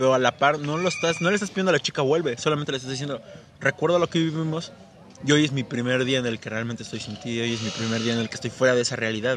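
A man's medium-pitched voice at a very fast pace with ordinary pitch variation, over noticeable background noise. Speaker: podcast co-host. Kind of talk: casual chat.

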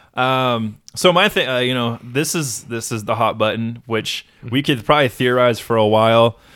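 An unremarkable speaking voice at a moderate pace, with ordinary pitch variation and hardly any pauses, in a very clean recording over a silent background. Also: man, medium pitch for a man. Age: 30s. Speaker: podcast co-host. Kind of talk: casual chat.

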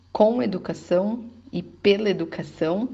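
Somewhat breathy and very slow, a woman speaks at a medium pitch with ordinary pitch variation. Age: 30s. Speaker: entrepreneur and mother sending a testimony. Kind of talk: recorded testimony.

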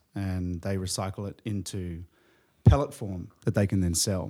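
Fairly low in pitch, a man speaks with a dark, mellow tone at a fairly slow pace. The recording is very clean, with a silent background. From New Zealand, Australia and England. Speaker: surfboard company co-founder. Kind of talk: casual interview.

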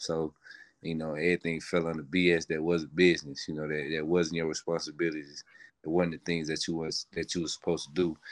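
A man speaks at a very fast pace in a very deep, low pitch with monotone, flat intonation. The background is quiet. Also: dry, close sound with no echo. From US South, northern Mississippi (Horn Lake). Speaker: pro football player. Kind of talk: interview. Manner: halting.

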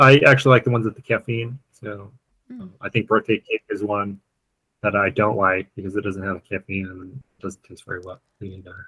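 A man speaks at a fairly quick pace with a fairly low pitch, ordinary pitch variation and big swings in loudness. His bright, sharp tone has a dry, close sound with no echo. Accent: American. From Colorado. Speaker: guidebook author and climber. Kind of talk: interview.

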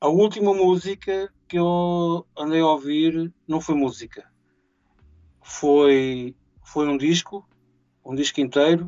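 At a very slow pace with long, frequent pauses, a man speaks at a fairly high pitch with fairly even intonation. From Portugal, Mira (Aveiro district). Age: 40s. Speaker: event organizer. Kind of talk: casual interview.

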